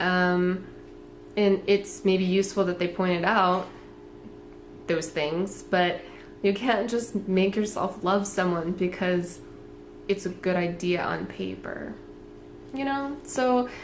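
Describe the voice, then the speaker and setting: A woman's medium-pitched voice at a very slow pace, with long, frequent pauses, audible room echo and noticeable background noise. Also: ordinary pitch variation. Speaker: tarot reader. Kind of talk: tarot reading monologue. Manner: casual, many fillers; speaking louder.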